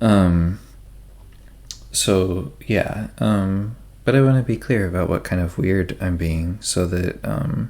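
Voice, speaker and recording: A soft-spoken man with a very deep, low pitch at a fairly slow pace. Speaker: ASMR creator. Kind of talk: casual chat. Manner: halting.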